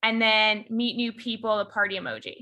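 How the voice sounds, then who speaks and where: A woman with a Chicago accent, a fairly high pitch and a fairly quick pace. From Chicago, US Midwest. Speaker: software engineering lead, conference speaker. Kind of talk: conference talk over video call. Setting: video call. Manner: animated.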